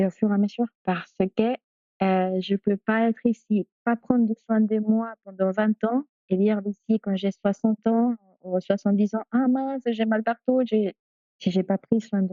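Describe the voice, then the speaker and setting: Speaking at a fairly slow pace, a woman keeps a monotone, flat intonation while her loudness swings widely. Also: fairly high pitch for a woman. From Peru. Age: 40s. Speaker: doula. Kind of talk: interview. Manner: halting.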